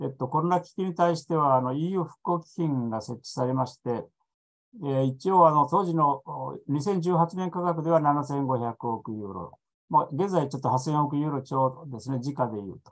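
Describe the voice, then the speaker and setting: A man's fairly high voice at a moderate pace, with ordinary pitch variation, big swings in loudness and a quiet background. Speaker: EU expert panelist; panelist. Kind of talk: presentation. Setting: online video conference. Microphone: video call.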